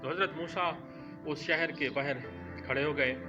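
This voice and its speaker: A man's voice, fairly high in pitch, comes through with music in the background. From Pakistan. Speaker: voice-over artist. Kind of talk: religious story narration.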